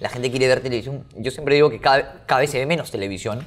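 A man talks with ordinary pitch variation in a plain, everyday voice. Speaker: podcast host. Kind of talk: casual interview chat.

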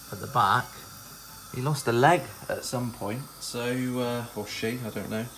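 Light background noise underlies the recording. A man speaks with fairly even intonation. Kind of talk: casual cooking vlog chat. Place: kitchen. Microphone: phone near.

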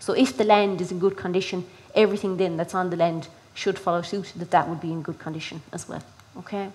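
A woman in a Kerry accent, very fast in pace, with fairly even intonation. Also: medium pitch for a woman. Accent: Kerry Irish. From Ireland, County Kerry; Ireland. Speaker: rural development project manager. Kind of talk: presentation to farmers. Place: hall.

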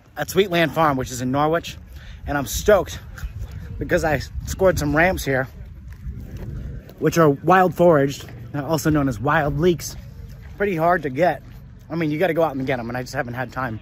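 Speaking at a fairly quick pace, a man uses ordinary pitch variation. The sound is dry with no echo, over light background noise. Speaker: local food vlogger. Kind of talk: casual vlog chat. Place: garden. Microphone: phone near.

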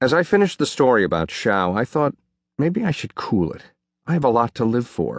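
A man talks at a fairly quick pace with vocal fry and very wide pitch swings, in a dry, close sound with no echo and a quiet background. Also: medium pitch for a man. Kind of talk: audiobook reading of a first-person memoir. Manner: steady, even narration with measured pacing.

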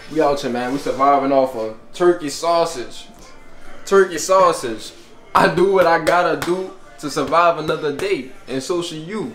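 A man talks at a moderate pace with ordinary pitch variation. The room echo is audible, and faint music plays in the background. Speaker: vlogger. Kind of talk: casual vlog chat. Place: home room. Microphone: phone near.

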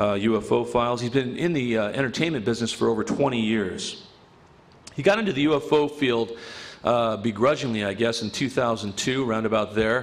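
A man with a normal speaking voice, medium in pitch with ordinary pitch variation, at a moderate pace. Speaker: event organizer. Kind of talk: speaker introduction. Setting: stage with audience. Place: hall. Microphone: podium.

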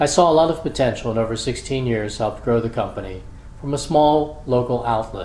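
With an American accent, a man speaks at a fairly quick pace and medium pitch. His pitch varies in an ordinary way, and room echo is audible. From US Northeast, Philadelphia. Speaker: college administrator. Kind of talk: scripted narration. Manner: formal.

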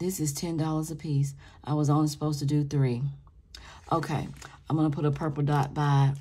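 A woman's very deep, low voice, very even in loudness, monotone and flat, at a fairly quick pace broken by long, frequent pauses. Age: 50s. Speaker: budgeting YouTuber. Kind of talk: casual vlog tutorial; casual vlog chat. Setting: home recording. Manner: casual, scattered. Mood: relaxed, chatty. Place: home room.

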